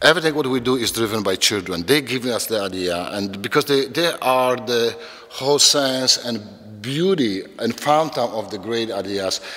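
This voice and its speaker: A man with a non-native accent speaks at a moderate pace. His intonation is lively, and there is noticeable background noise. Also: medium pitch for a man. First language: not English. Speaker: educator, children's program founder. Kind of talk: interview monologue. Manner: halting, many repetitions.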